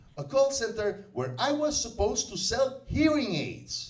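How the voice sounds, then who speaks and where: A man speaks with a Russian accent, his pitch swinging very widely, over noticeable background noise. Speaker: stand-up comedian. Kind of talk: stand-up comedy set. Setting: comedy club, live audience.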